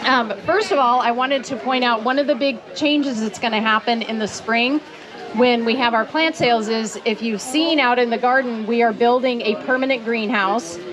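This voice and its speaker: Loud and high-pitched, a woman's voice comes through with audible room echo and noticeable background noise. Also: ordinary pitch variation, moderate pace. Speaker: gardening speaker at a ranch for children. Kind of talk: talk to a live audience. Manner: loud, projecting.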